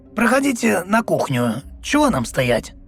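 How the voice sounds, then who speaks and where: A man's put-on character voice, high-pitched, raspy and croaky, at a moderate pace over faint background music. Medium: read story. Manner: polite, homely.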